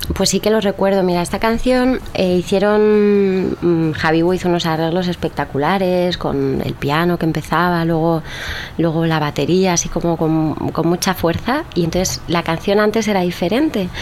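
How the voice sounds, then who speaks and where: A woman's fairly low-pitched voice at a very even loudness, with noticeable background noise. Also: ordinary pitch variation, moderate pace. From Spain. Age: 30s. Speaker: singer-songwriter. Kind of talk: casual interview.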